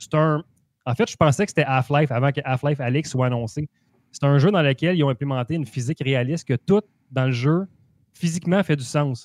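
A man talks at a fairly quick pace with a fairly high pitch and ordinary pitch variation. The sound is dry, with no echo. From Quebec. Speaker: gaming podcast co-host. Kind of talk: casual chat. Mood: relaxed, festive, laughing. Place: home room. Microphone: video call.

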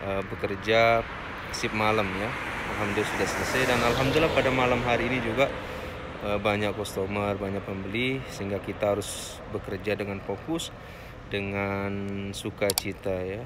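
A man talks at a fairly slow pace while loud background noise plays. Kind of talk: casual vlog chat. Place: street. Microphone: phone near.

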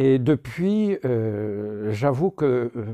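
Dark and mellow in tone, a man's voice sits at medium pitch. His pitch swings very widely over a quiet background. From southern France, near Narbonne; southern France. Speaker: religious brother and deacon. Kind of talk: personal testimony. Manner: hesitant, many filler sounds. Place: home room. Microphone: phone near.

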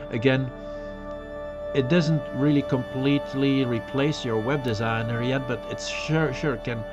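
A man talks at a fairly slow pace while clear music plays in the background. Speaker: webcast host. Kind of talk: informal tech webcast talk.

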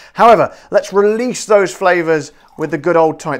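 In a West Country accent, a man speaks in an animated tone with lively intonation over a quiet background. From southwest England. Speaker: gin reviewer, video host. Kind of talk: casual product review to camera. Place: kitchen. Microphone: lapel.

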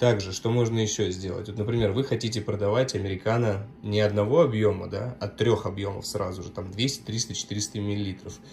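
A man with a fairly low pitch speaks at a moderate pace with hardly any pauses, his somewhat breathy voice keeping a fairly even intonation over light background noise. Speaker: coffee machine seller. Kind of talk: tutorial. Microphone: phone near.

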